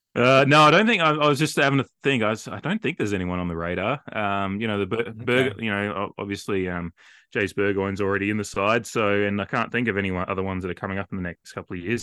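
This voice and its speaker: Talking very fast in an Australian accent, a man with a fairly low pitch has a bright, sharp tone, the sound dry and close with no echo over a quiet background. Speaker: football podcaster. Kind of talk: casual chat.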